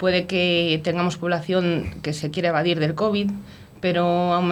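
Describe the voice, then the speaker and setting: Noticeable background noise sits behind a woman speaking at a fairly low pitch. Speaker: mayor and provincial vice-president. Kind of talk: casual radio interview.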